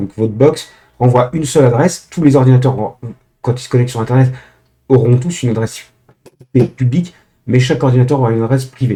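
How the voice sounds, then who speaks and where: A man with a dark, mellow, somewhat breathy tone talks at a very fast pace in a medium pitch, with fairly even intonation and long, frequent pauses. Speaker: tech tutorial youtuber. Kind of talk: tutorial. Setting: screen recording. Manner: hesitant, many filler sounds.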